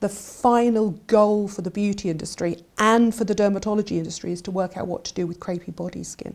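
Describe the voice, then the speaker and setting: The voice carries an English accent and moves at a fairly quick pace. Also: woman. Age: 60s. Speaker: beauty journalist. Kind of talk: casual chat.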